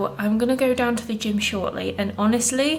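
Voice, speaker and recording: Here a woman speaks with a British accent. She keeps a fairly quick pace. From England. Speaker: vlogger and food habit coach. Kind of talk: casual vlog talk.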